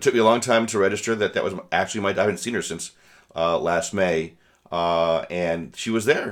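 Very clean recording with a silent background, featuring a man with an ordinary speaking voice. His pitch is fairly low with ordinary variation, and he speaks at a fairly quick pace. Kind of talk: casual chat.

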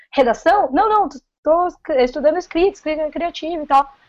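A woman speaks at a moderate pace in a caipira accent. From interior of São Paulo state (Paulínia). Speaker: food engineer and novice writer. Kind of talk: casual chat.

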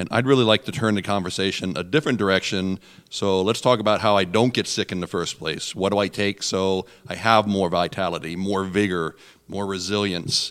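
A man talks fairly fast in an unremarkable speaking voice, pitched fairly low, on a very clean recording with a silent background. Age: 60s. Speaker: natural products expert and herbalist. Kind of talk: radio interview.

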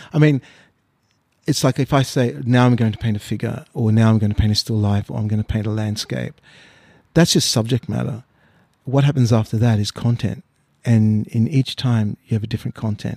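Dark and mellow in tone, a man with an Australian accent is heard in a dry, close recording with no echo and a silent background. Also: medium pitch for a man, ordinary pitch variation. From Australia (born in Mauritius, arrived age six). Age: 50s. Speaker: painter. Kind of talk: casual interview. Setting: artist's studio. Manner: halting, many fillers and repeats.

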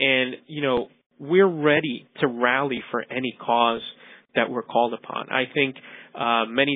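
A man speaks in a New York accent at a medium pitch. His intonation stays fairly even. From New York City, Queens. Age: 40s. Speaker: cosmetic dentist. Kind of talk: interview.

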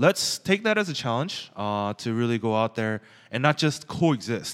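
In an ordinary speaking voice, a man with an American accent talks at a medium pitch and moderate pace with lively intonation, on a very clean, dry, close recording with no echo and a silent background. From Los Angeles, US. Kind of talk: casual chat. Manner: casual, joking.

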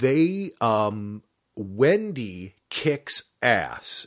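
On a very clean recording with a silent background, a man with an American accent speaks at a medium pitch with very wide pitch swings. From New Jersey. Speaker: podcast host. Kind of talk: casual chat.

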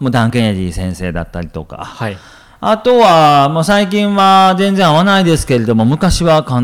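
A man's voice with very wide pitch swings. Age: 30s. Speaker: business coach. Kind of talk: casual chat.

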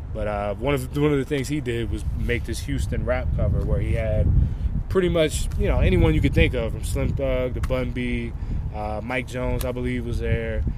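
There is noticeable background noise and audible room echo. A man with an American accent speaks at a moderate pace. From New Jersey. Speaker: college football player. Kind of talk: interview. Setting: outdoors at practice.

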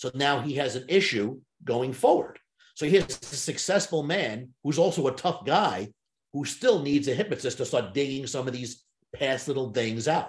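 At a moderate pace, a man with a fairly high pitch uses lively intonation in a somewhat breathy voice. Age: 60s. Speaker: sales trainer and hypnotist. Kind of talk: interview.

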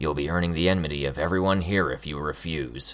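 A man growls in a put-on character voice with a very deep, low pitch. He talks at a very fast pace over light background noise. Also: fairly even intonation. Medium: read story. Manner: growling, menacing.

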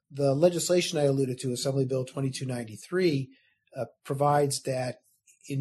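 A somewhat breathy man with an American accent, fairly high in pitch, with ordinary pitch variation. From US Midwest, Chicago suburbs. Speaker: state insurance regulator. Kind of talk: interview. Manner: formal.

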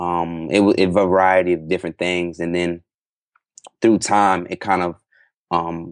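A man speaks in a very deep, low pitch with monotone, flat intonation. The sound is dry and close with no echo, over a quiet background. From Hawaii. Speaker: entrepreneur, comedy website founder. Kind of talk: casual interview chat.

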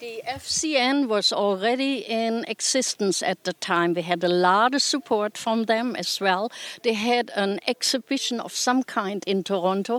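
With a German accent, a woman speaks at a fairly slow pace with hardly any pauses, a fairly high pitch and ordinary pitch variation, in a dry, close sound with no echo on a very clean recording with a silent background. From Germany. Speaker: retired nudist resort owner. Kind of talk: interview.

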